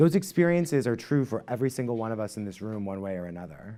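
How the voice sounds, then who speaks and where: His tone is dark and mellow, the voice of a man. The background is silent on a very clean recording. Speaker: conference speaker. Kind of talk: conference talk. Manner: fast; casual.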